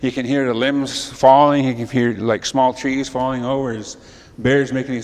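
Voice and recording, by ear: Natural-voiced reading aloud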